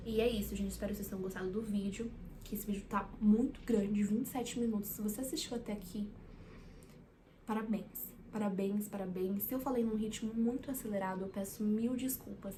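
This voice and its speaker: A woman with a fairly high pitch and fairly even intonation talks at a fairly quick pace amid audible room echo. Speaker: psychology student and vlogger. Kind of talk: casual vlog talk to camera. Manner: halting, with many fillers and repeats.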